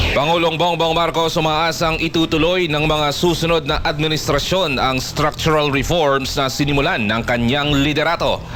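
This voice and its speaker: A man's fairly high-pitched voice at a moderate pace, with fairly even intonation, very even loudness and hardly any pauses, music in the background. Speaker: radio news anchor. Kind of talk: radio newscast headlines.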